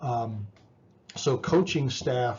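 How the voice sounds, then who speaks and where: A man talks at a very slow pace in a medium pitch. His voice is somewhat breathy. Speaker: psychology professor. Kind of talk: lecture. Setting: recorded video lecture with slides. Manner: halting, many repetitions and fillers.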